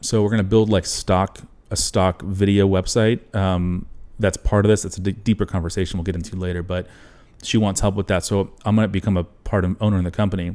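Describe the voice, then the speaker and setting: On a very clean recording with a silent background, a man speaks at a fairly quick pace. His voice is fairly low, with a dark, mellow tone. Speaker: videographer and entrepreneur. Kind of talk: interview conversation. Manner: fast; animated.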